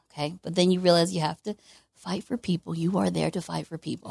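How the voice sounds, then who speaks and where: Talking very fast with vocal fry, a woman with a fairly low pitch is heard against a quiet background, the sound dry and close with no echo. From Memphis, Tennessee. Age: young. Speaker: state legislator. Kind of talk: interview. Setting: stage with audience.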